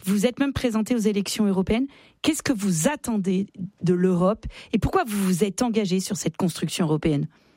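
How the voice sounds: At a fairly quick pace, a woman speaks at a medium pitch with ordinary pitch variation and a slightly mellow tone.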